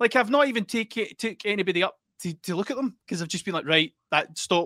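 Speaking very fast with an Ayrshire accent, a man has a bright, sharp tone and ordinary pitch variation, captured in a very clean recording with a silent background and a dry, close sound with no echo. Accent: Ayrshire Scottish. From Scotland, Ayrshire. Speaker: musician and artist. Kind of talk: casual chat.

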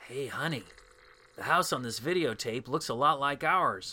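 A gruff put-on character voice from a man, fairly high in pitch, with ordinary pitch variation at a moderate pace. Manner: gruff, dismissive, oblivious.

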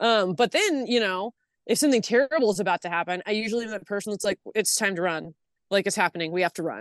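Against a quiet background, a woman with a Californian accent talks at a very fast pace and medium pitch with ordinary pitch variation. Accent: Californian American. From Los Angeles, San Fernando Valley. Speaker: artist and producer. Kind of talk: casual chat. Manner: loud.

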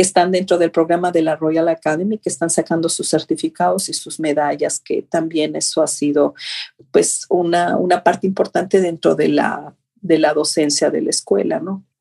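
At a moderate pace, a woman speaks in a dry, close sound without any echo. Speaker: ballet teacher and choreographer. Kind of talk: interview.

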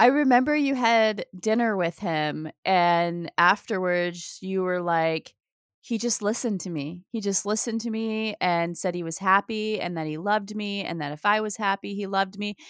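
Using a normal speaking voice, a woman at medium pitch with ordinary pitch variation talks at a moderate pace with hardly any pauses, in a very clean, dry, close recording with no echo and a silent background. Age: 40s. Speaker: podcast co-host. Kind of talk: casual chat.

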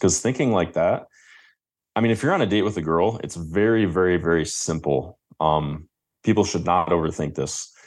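A man's very deep, low voice with a Midwestern US accent, at a fairly quick pace with ordinary pitch variation. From Michigan. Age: 20s. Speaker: dating and confidence coach. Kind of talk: interview.

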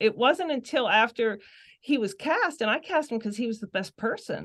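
At a moderate pace, a woman speaks with a Western Pennsylvania accent. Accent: Western Pennsylvania American. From Pittsburgh area, Pennsylvania. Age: 50s. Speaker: novelist. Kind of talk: casual chat.

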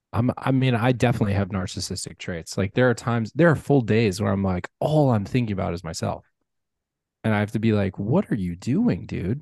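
At a fairly quick pace, a man speaks at a fairly low pitch with ordinary pitch variation in a normal speaking voice. The sound is dry and close with no echo, over a quiet background. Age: 30s. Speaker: podcast host. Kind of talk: casual chat.

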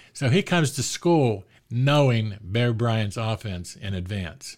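A plain, everyday voice with an American accent moves at a fairly slow pace with ordinary pitch variation, in a very clean recording with a silent background. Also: man. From Pittsburgh, Pennsylvania. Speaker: sports author. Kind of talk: casual interview. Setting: studio.

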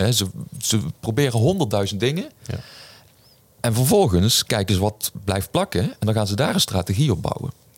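Speaking at a moderate pace with long, frequent pauses, a man uses a medium, somewhat breathy voice and lively intonation. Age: 40s. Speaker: business coach and author. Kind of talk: podcast interview.

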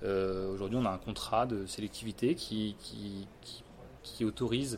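Here a man with a fairly low pitch speaks with fairly even intonation. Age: 30s. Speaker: e-commerce executive. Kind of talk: interview. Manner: hesitant, many fillers.

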